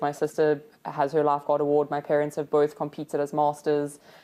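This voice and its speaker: A woman speaks at a moderate pace in a very deep, low voice with a dark, mellow tone. The background is quiet. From South Africa, Cape Town (Fish Hoek). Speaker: competitive lifesaving athlete. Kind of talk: casual interview chat. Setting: studio.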